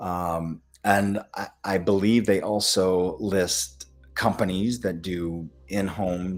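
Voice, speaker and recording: Here a man talks in a very deep, low pitch. He has a Midwestern accent. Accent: American Midwestern. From US Midwest. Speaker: functional medicine doctor. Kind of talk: live Q&A webinar. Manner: hesitant, many fillers.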